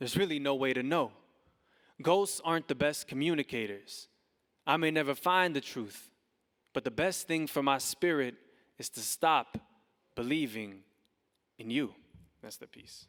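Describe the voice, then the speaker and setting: In a very clean recording with a silent background and a dry, close sound with no echo, a man speaks at a moderate pace with a fairly high pitch, ordinary pitch variation, and long, frequent pauses. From Texas, Fort Worth. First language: Spanish. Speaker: spoken word poet. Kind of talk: casual stage talk; spoken word performance. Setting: stage with audience. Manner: halting.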